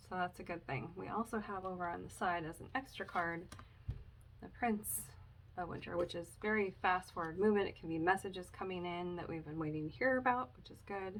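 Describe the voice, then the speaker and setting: A woman talks at a fairly quick pace and medium pitch, using ordinary pitch variation and big swings in loudness. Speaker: tarot reader. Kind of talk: tarot reading monologue. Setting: home, recording alone. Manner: making an effort to speak louder; casual, with frequent ums. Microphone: no microphone; viewers said she was hard to hear.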